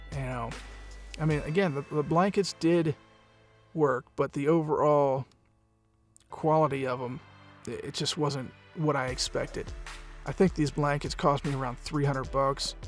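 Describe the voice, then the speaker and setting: Music plays behind a man speaking. He keeps a moderate pace but takes long, frequent pauses. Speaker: voice actor and audiobook narrator. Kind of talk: casual narration over pictures. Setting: home studio.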